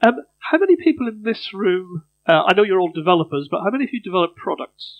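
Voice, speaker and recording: A man's high-pitched, very fast voice with lively intonation. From Northern Ireland, Belfast. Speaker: conference speaker, software company CTO. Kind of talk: conference talk. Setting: stage with audience.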